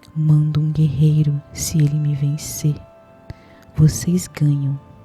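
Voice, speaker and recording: Whispering at a very slow pace, a soft-spoken woman uses a gentle tone as music plays in the background. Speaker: ASMR creator playing a caring grandmother. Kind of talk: bedtime Bible story narration, gentle storytelling. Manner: soft, whispery, gentle.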